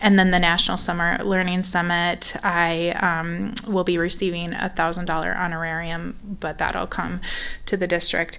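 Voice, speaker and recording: Here a woman with a Minnesotan accent speaks at a moderate pace. Her medium-pitched voice is monotone and flat. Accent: very Minnesotan. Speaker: school superintendent. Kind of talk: board meeting report. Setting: school board meeting. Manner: many filler ums.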